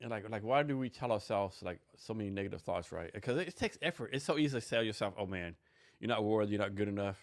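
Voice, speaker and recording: On a very clean recording with a silent background, a man speaks at a very fast pace. His pitch is fairly low, with ordinary pitch variation. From Texas. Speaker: podcast host. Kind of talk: casual interview chat.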